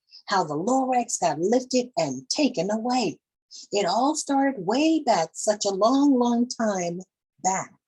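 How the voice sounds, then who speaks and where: A woman puts on a nasal character voice at fairly high pitch. She speaks at a fairly slow pace. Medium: read story.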